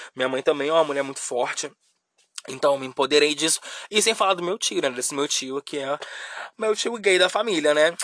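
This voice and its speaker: Here a man talks at a very fast pace in a fairly high pitch. His tone is animated, and his pitch varies in an ordinary way. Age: 20s. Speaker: podcast host. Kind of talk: casual monologue.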